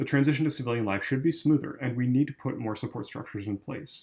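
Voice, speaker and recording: A man's somewhat breathy voice at a very fast pace against a quiet background. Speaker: volunteer member of a veterans' political group reading policy. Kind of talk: policy reading, straight read without commentary. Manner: plain, measured reading.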